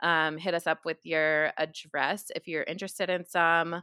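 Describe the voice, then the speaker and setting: The background is quiet and the sound is dry and close, with no echo. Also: woman. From New York. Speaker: podcast co-host. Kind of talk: casual chat. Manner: chatty, laughs often.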